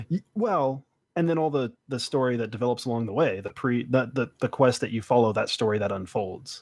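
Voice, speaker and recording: This man has an ordinary speaking voice at a medium pitch. His pitch varies in an ordinary way. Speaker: podcast guest. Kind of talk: casual podcast discussion.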